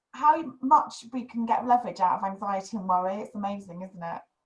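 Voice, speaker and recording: Her voice somewhat breathy and fairly high in pitch, a woman speaks at a fairly quick pace with ordinary pitch variation. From northern England, West Yorkshire (Huddersfield). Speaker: podcast host. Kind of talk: casual chat.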